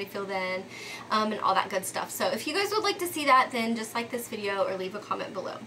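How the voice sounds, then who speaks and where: A woman with an American accent at a fairly quick pace, amid noticeable background noise. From Texas, Dallas. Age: 30s. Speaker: lifestyle vlogger. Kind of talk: casual vlog monologue. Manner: conversational with frequent um fillers.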